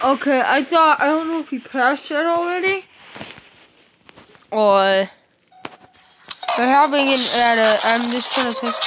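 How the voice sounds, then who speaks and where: Lively, high-pitched woman's speech with long, frequent pauses over noticeable background noise. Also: fairly slow pace. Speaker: gaming video creator; mobile gamer. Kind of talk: gameplay commentary. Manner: quiet, holding voice down; halting, many fillers.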